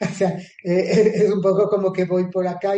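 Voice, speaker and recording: Pitched high for a man, his voice carries a dark, mellow tone. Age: 60s. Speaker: astrologer. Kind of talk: interview. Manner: hesitant, frequent fillers.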